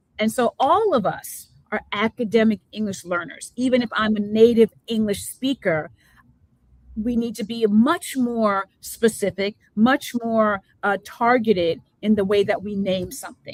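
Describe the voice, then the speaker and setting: With a slight New Jersey accent, a woman talks fairly slowly at a fairly high pitch with ordinary pitch variation, in a dry, close sound with no echo. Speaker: education talk show host. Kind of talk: live interview show. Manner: animated.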